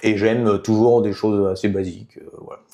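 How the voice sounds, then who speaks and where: A man's fairly low voice with a dark, mellow tone over a quiet background. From southwestern France, Béarn near Basque Country. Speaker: politician, former mayor. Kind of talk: interview. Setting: podcast. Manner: hesitant, many fillers.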